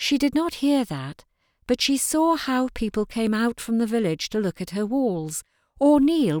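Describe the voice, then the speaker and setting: A woman with a plain, everyday voice talks at a fairly slow pace, her pitch fairly high and her intonation lively. The very clean recording has a silent background and a dry, close sound with no echo. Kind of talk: audiobook narration reading fiction aloud. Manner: measured, storytelling pace with a hushed, dreamy lyrical tone.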